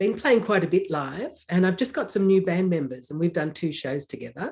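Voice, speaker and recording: A woman with an Australian accent talks at a fairly quick pace, somewhat breathy, her pitch swinging very widely. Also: medium pitch for a woman. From Australia, near Melbourne. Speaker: electronic musician. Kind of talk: interview.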